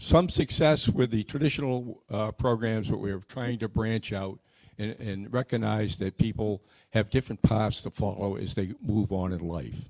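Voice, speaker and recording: With a Boston accent, a man speaks at medium pitch and a fairly slow pace, the sound dry and close with no echo. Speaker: scholarship committee member. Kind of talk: community meeting presentation. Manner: halting, with frequent repeats.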